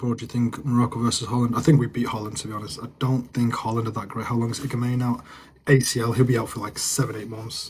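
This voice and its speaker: With a northern English accent, a man at medium pitch talks at a very fast pace, somewhat breathy and in a monotone, flat intonation. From northern England, Manchester area. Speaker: live streamer, football fan. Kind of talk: casual live stream chat.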